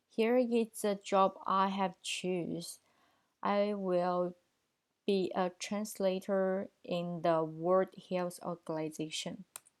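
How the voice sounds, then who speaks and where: A woman with a Chinese accent at medium pitch and a very slow pace, with fairly even intonation, on a very clean recording with a silent background. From China. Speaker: translation student. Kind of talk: video presentation for a course. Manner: formal.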